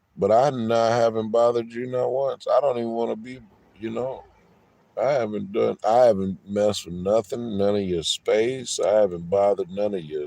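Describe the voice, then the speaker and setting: Here a man talks at a moderate pace with a medium pitch. His tone is dark and mellow, and his pitch varies in an ordinary way. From San Diego, California. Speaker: livestreamer. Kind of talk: heated argument. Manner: loud.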